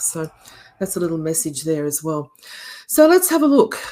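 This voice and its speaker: A woman with an Australian accent speaks at a moderate pace in a dark, mellow tone. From Australia, Melbourne. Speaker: education keynote speaker, university educator. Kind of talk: conference keynote. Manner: animated, with many fillers.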